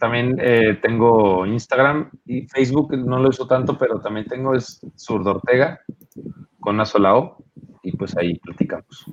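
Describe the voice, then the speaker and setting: This man talks at a fairly slow pace in a Mexico City accent, his medium pitch showing ordinary variation. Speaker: rock musician. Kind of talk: casual interview.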